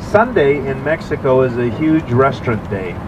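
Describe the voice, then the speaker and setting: There is noticeable background noise behind a man's voice. He speaks with ordinary pitch variation. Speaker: tour guide. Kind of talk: tour guide announcement. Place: bus.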